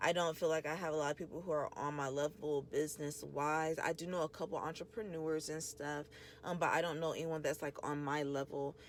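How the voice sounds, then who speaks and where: A woman speaks with hardly any pauses, her pitch very deep and low and her intonation fairly even. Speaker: podcast host and small business owner. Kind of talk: casual monologue. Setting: in a car. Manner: soft-spoken; casual, filler-heavy.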